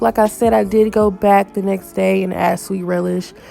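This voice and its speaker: There is music in the background. A woman's voice proceeds at a moderate pace. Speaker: lifestyle vlogger. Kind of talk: casual voiceover cooking narration.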